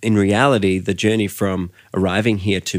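A man with an Australian accent speaks at a moderate pace with a very deep, low pitch and monotone, flat intonation. The recording is very clean, with a silent background. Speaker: worship and creative team pastor, podcast host. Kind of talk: interview conversation.

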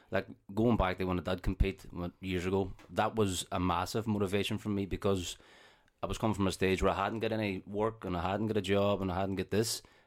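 This man has a Northern Irish accent and a fairly low pitch. He talks at a fairly quick pace in a monotone, flat intonation. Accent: Derry Northern Irish. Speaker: personal trainer and gym owner. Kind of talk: casual chat.

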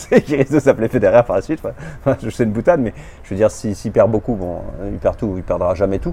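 A man at a very fast pace, with big swings in loudness and noticeable background noise. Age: 50s. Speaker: amateur tennis player. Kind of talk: casual interview. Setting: in person.

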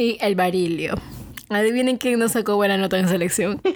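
With an unremarkable speaking voice, a woman talks fairly quickly at a fairly high pitch and with ordinary pitch variation. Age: 20s. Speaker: podcast co-host. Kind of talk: casual chat.

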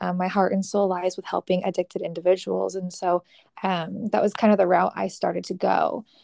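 A woman with a Californian accent speaks in a dark, mellow tone with fairly even intonation, the sound dry and close with no echo over a quiet background. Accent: General American (Californian). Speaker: mental health counselor. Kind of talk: casual interview.

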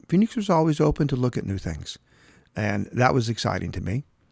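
A man with a normal speaking voice and a medium pitch talks at a fairly quick pace against a quiet background. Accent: American. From Oklahoma. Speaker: real estate developer. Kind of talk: interview conversation.

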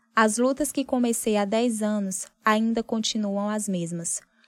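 Over a silent background in a very clean recording, a woman with a plain, everyday voice speaks fairly slowly at a fairly high pitch with fairly even intonation. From Piauí semi-arid, northeastern Brazil. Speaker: journalist. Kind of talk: personal essay narration.

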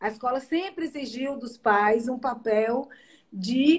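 A woman talks in a high voice. She shows ordinary pitch variation. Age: 50s. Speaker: live show host. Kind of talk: interview on a live stream. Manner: halting, with many repetitions.

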